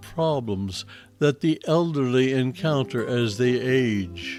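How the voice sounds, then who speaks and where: Music plays in the background as a man talks at a fairly slow pace. His medium-pitched voice has lively intonation. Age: 70s. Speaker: Bible teacher. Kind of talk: Bible teaching and scripture reading. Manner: reflective.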